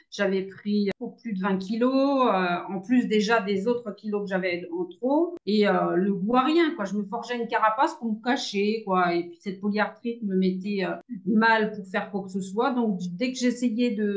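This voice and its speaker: A woman speaks at a fairly slow pace with hardly any pauses, her pitch medium and her pitch variation ordinary, against noticeable background noise. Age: 60s. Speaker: retired caregiver, coaching client. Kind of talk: testimony interview. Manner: hesitant, many fillers.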